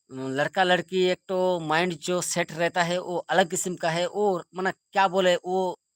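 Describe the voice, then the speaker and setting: Recorded very cleanly with a silent background, a man with a high voice keeps his intonation fairly even, the sound dry and close with no echo. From India, West Bengal, Purulia. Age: 30s. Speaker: live streamer. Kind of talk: casual live stream chat. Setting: live stream. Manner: repetitive, rambling.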